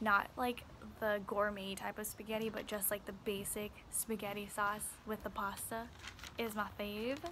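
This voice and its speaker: Quiet and fairly slow, a woman with a fairly high pitch speaks over noticeable background noise. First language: Chinese and Vietnamese. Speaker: beauty vlogger. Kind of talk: casual vlog talk. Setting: outdoors in backyard.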